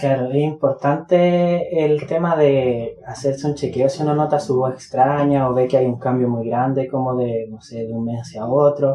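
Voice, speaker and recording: The speech moves at a moderate pace with hardly any pauses. Noticeable background noise runs underneath. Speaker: speech therapy intern. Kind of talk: talk.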